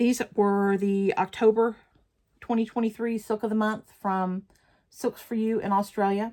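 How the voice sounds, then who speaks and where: On a very clean recording with a silent background, a woman with a Southern US accent speaks at a fairly slow pace and fairly high pitch, in a dark, mellow tone with monotone, flat intonation. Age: 60s. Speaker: crafting vlogger. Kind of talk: casual chat. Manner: casual, chatty.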